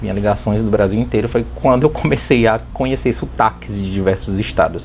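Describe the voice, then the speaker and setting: With noticeable background noise in the recording, a man delivers his words at a fairly quick pace. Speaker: YouTuber, makeup artist. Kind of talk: casual vlog storytelling. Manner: fast.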